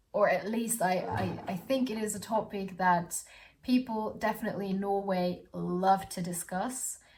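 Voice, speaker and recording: The speech moves at a moderate pace while noticeable background noise continues underneath. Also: woman, medium pitch for a woman, fairly even intonation. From Austria. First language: German. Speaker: student vlogger. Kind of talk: casual vlog talk. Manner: halting, many fillers and repeats.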